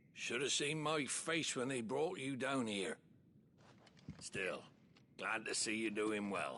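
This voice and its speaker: A man puts on a raspy character voice at a medium pitch, with very even loudness. He goes at a fairly slow pace, with long, frequent pauses. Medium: video game. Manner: gruff, wry.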